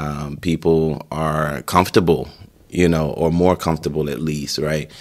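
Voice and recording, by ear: At a fairly slow pace, a man talks at an extremely low pitch. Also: fairly even intonation, slightly mellow tone.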